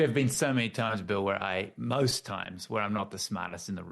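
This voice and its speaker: The speaker talks with an Australian accent and hardly any pauses. The background is quiet. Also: man. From Australia, Tasmania. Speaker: author and team-building consultant. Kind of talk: interview conversation. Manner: halting, many repetitions.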